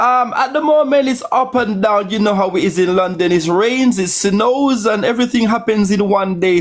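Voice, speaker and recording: Music plays in the background as a man speaks in a Caribbean accent. His voice is high-pitched with lively intonation. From Jamaica. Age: 40s. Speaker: caller. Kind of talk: casual chat.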